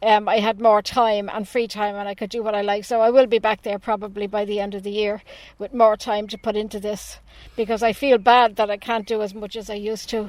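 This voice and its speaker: With an Irish accent, a woman speaks at a fairly high pitch in a monotone, flat intonation, with big swings in loudness. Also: fairly quick pace. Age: 60s. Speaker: animal rights campaigner. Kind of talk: radio interview.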